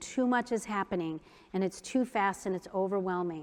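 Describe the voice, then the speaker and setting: Speaking with an American accent, a woman has a medium pitch. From US Midwest, Iowa. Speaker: keynote speaker, mind-body wellness trainer. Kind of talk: conference keynote talk. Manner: animated.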